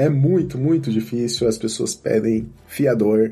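Against noticeable background noise, a man at medium pitch talks with lively intonation. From Brazil, Campinas. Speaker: software engineer. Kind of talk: interview.

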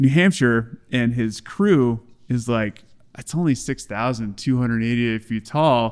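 Medium in pitch, a man talks in an ordinary speaking voice. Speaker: pro cyclist. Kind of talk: casual chat.

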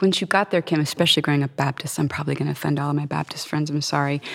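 A woman speaks very fast with an American accent. Her pitch is very deep and low. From Florida. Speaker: singer-songwriter. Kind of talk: casual interview chat. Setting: recorded in a stone chapel.

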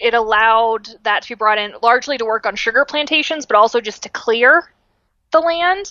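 A woman with a high voice talks at a medium speed, her pitch moving in an ordinary way. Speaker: podcast host. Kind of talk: casual chat. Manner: animated.

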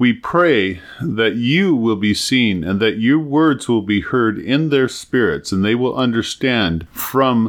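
This is a natural reading voice. It carries the words through.

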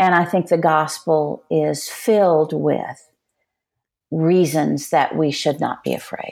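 In an American accent, a woman speaks at a fairly slow pace. Her pitch is very deep and low, with fairly even intonation. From Texas. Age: 60s. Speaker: Enneagram teacher and author. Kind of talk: interview.

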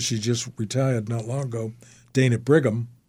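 A man with an American accent speaks at a moderate pace in a dark, mellow tone, his intonation fairly even. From Brookline, Massachusetts (Boston area). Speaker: memoir author and storyteller. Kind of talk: interview.

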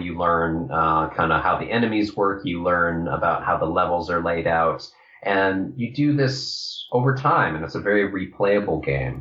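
Over noticeable background noise, a man with a very deep, low voice talks at a moderate pace with lively intonation and hardly any pauses. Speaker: game designer. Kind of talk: casual interview.

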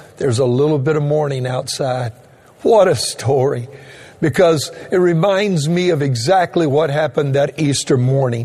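A man with an American accent speaks in a fairly high voice over noticeable background noise. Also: ordinary pitch variation, moderate pace. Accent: Cajun Louisiana Southern US. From Louisiana, Cajun. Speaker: pastor. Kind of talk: sermon. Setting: online streaming church service.

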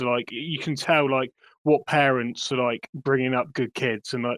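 At a moderate pace, a man with an English accent speaks in a dry, close sound with no echo. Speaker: crypto project representative. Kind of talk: casual chat. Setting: online audio room.

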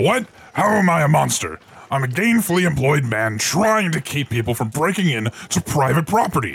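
A man puts on a character voice. He pitches it fairly high and keeps a moderate pace. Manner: gruff but chatty, easily distracted.

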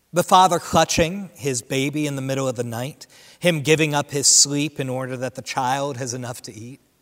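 Fairly high in pitch, a man speaks in an unremarkable speaking voice at a moderate pace, with ordinary pitch variation and big swings in loudness. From Central New Jersey. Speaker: associate pastor. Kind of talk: sermon. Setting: church without congregation.

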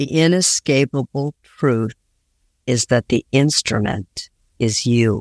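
Very slow speech in a dry, close sound with no echo. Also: woman. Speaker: podcast host. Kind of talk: interview conversation.

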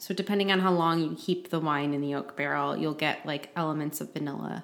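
A woman speaks at a fairly quick pace. She has a Midwestern accent. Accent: general American Midwest. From Flint, Michigan; US Midwest. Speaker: podcast co-host. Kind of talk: casual chat.

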